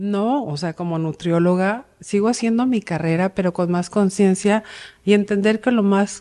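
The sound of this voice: A woman's medium-pitched voice with a dark, mellow tone at a moderate pace. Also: ordinary pitch variation.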